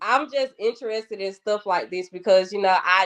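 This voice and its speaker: With a strong Atlanta accent, a woman speaks at a moderate pace. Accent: thick Atlanta Southern. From Atlanta, Georgia (West Side, Bankhead). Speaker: podcast guest. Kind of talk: casual chat.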